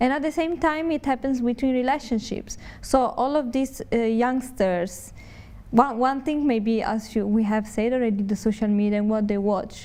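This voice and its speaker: A woman speaks in an Italian accent. Her pitch is fairly high and her pace moderate. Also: ordinary pitch variation. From Italy. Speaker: Buddhist nun. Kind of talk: TV interview. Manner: halting.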